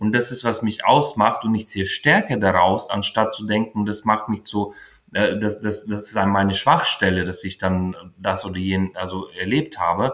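A man's fairly low voice keeps its intonation fairly even. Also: moderate pace. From Ukraine. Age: 40s. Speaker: founder of a queer youth mentoring initiative. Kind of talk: interview. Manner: halting, many fillers.

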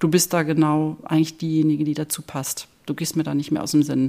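The voice belongs to a woman. It sits very deep and low in pitch. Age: 50s. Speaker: hospice volunteer and physiotherapist. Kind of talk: interview. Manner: hesitant, many fillers.

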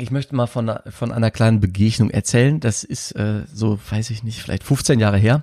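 In a dry, close sound with no echo, a man with a dark, mellow tone and medium pitch talks at a moderate pace with fairly even intonation and hardly any pauses. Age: 30s. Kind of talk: casual chat.

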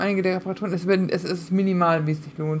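With a normal speaking voice, a woman talks at a moderate pace. Her medium pitch shows ordinary variation. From Münsterland, Germany. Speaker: podcast co-host. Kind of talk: casual chat.

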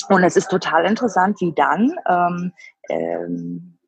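The recording is dry and close, without any echo. The speaker is a woman. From Frankfurt am Main, Germany. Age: 30s. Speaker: cosmetics product tester. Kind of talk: interview. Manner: halting, many fillers.

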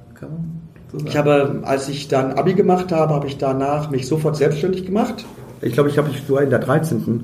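Over noticeable background noise and audible room echo, a man speaks in a fairly high voice with ordinary pitch variation. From Germany, Emsland (Lower Saxony). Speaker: comedian and theatre director. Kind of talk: casual chat. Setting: wine cellar of a pub.

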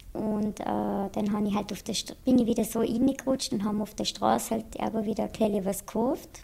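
Vocal fry runs through a dark, mellow tone delivered at a moderate pace with fairly even intonation. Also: woman, fairly high pitch for a woman. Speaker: patient in addiction treatment. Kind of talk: interview testimony. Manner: hesitant, many filler sounds; plain colloquial speech.

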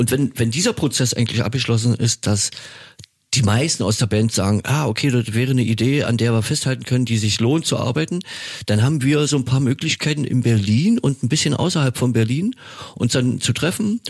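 A man of medium pitch talks at a fairly quick pace, somewhat breathy, with very even loudness and ordinary pitch variation. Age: 50s. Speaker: rock musician and podcast co-host. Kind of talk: casual chat. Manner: hesitant, many fillers.

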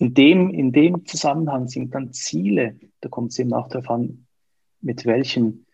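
Somewhat breathy, a man speaks at a fairly slow pace and medium pitch with ordinary pitch variation. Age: 40s. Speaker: coach. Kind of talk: interview.

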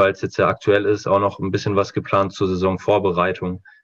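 Against a quiet background, a man talks fairly quickly in a fairly low voice with monotone, flat intonation. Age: 20s. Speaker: handball coach. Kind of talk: podcast interview.

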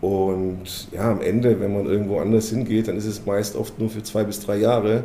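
A man speaks at a moderate pace in a flat, monotone delivery. Noticeable background noise and audible room echo surround him. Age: 50s. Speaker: company executive. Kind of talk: interview. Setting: company headquarters.

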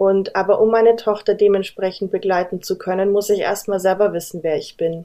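A woman's dark, mellow voice at a fairly quick pace, monotone and flat, with hardly any pauses. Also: medium pitch for a woman. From Bavaria, Munich. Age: 30s. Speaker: human design coach. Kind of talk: podcast interview.

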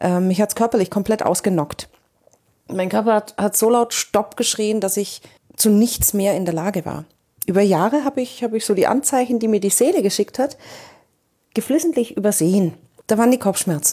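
A woman speaks at a moderate pace in a medium pitch, with a dark, mellow tone. Her pitch varies in an ordinary way, and she takes long, frequent pauses. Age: 40s. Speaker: podcast host and coach. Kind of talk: personal monologue.

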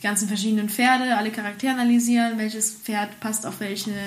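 Talking very fast at a fairly high pitch, a woman is heard with audible room echo and noticeable background noise. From Spain. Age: 30s. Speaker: horse trainer and stunt rider. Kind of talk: interview.

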